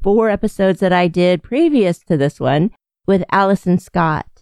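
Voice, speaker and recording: The recording of a woman's voice sounds dry and close, with no echo. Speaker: podcast host. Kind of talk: podcast intro monologue.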